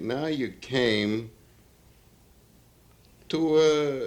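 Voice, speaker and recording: Pitched fairly high, a man with an unremarkable speaking voice shows ordinary pitch variation. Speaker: interviewer. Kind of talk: interview questions.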